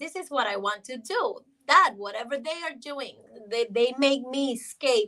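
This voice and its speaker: Raised and projected, a woman's high-pitched voice comes across with a bright, sharp tone. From Honduras. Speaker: sports TV correspondent. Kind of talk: casual interview chat. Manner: animated.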